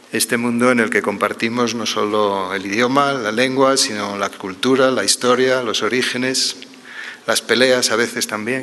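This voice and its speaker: Against noticeable background noise, a man speaks at a fairly slow pace with a medium pitch and fairly even intonation. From Spain. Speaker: pain medicine professor. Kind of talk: conference talk. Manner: formal.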